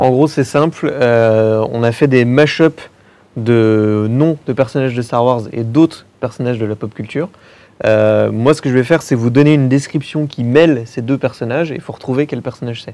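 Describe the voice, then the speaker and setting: Fairly even intonation and a moderate pace carry a dark, mellow tone. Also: man, medium pitch for a man. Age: 30s. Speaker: film podcaster. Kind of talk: casual panel discussion. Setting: filmed panel in a cinema.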